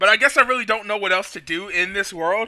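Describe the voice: Ordinary pitch variation in plain read-aloud speech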